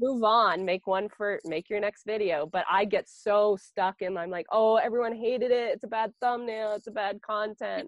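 With an Ontario accent, a woman speaks at a moderate pace in a fairly high pitch with ordinary pitch variation. She barely pauses at all. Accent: Canadian (Ontario). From southwestern Ontario, Canada. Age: 40s. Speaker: sheep and grain farmer. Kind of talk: interview. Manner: casual, chatty.

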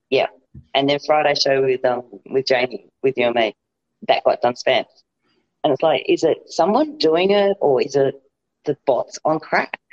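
With an Australian accent, the speaker keeps a moderate pace broken by long, frequent pauses. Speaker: podcast guest. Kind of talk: casual chat.

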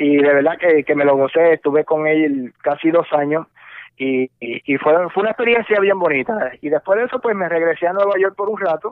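A man has an unremarkable speaking voice at a fairly high pitch. He talks at a moderate pace with lively intonation. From Puerto Rico and mainland US. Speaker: radio host. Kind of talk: casual interview.

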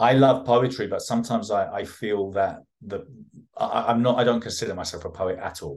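Speaking fairly quickly, a man keeps his pitch variation normal. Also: medium pitch for a man. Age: 50s. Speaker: author and event organizer. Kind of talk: interview. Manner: halting.

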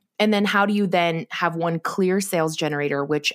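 Her pitch very deep and low, a woman with an American accent talks at a fairly quick pace with ordinary pitch variation, on a very clean recording with a silent background and a dry, close sound with no echo. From US Pacific Northwest (Oregon). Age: 20s. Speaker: business coach and entrepreneur. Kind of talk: interview conversation.

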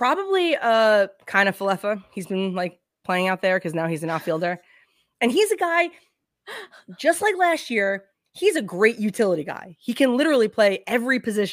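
The recording is very clean, with a silent background. A woman with a fairly high pitch talks at a moderate pace, her pitch swinging very widely. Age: 30s. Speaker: baseball podcaster. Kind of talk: casual chat.

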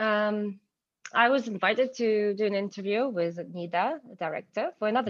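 A woman speaks in a Ukrainian accent. Her intonation is lively. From Ukraine, Kyiv. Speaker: cinematographer. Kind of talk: interview conversation.

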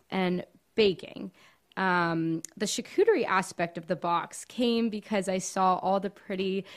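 In a very clean recording with a silent background, a woman with an American accent talks at a moderate pace and medium pitch, with ordinary pitch variation, in an ordinary speaking voice. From Miami, Florida (Cuban family). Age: 20s. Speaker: small business owner, baker and college student. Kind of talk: casual interview chat.

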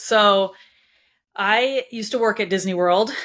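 The recording is very clean with a silent background. A woman speaks in a bright, sharp tone. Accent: Californian. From Southern California (Anaheim). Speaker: cookbook author. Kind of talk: interview conversation. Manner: hesitant, many fillers.

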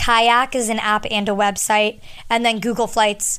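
A loud woman with an American accent, fairly high in pitch and bright and sharp in tone, on a very clean recording with a silent background. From US Northeast, southern New Hampshire. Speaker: podcast host. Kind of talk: casual chat. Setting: home, handheld mic. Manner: fast talker.

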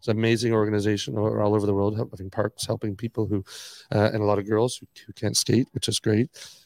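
Speaking very fast in a flat monotone, a man with a fairly low pitch is heard in a dry, close recording with no echo. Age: 60s. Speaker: skate park owner and entrepreneur. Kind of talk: interview.

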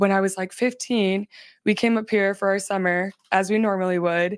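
Speaking in a flat monotone with an American accent, a woman with a medium pitch talks at a moderate pace on a very clean recording with a silent background. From Arizona. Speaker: pageant winner and model. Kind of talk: interview. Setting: studio.

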